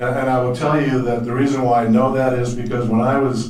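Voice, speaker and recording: The voice is monotone, with flat intonation. Noticeable background noise and audible room echo surround it. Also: man. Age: 60s. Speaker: former golf pro. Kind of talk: testimony.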